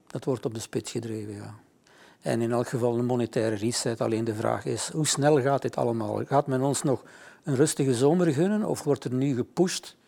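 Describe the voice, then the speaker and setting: The man's voice has a dark, mellow tone at a medium pitch. He moves at a moderate pace with ordinary pitch variation. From Flanders. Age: 60s. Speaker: author. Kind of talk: interview. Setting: studio.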